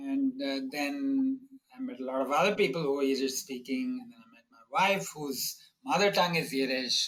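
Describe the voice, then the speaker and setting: A man with a Tamil accent and a fairly high pitch. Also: ordinary pitch variation, moderate pace, big swings in loudness. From India (Bombay, South Indian family). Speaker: economics professor. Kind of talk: interview. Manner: halting, many fillers.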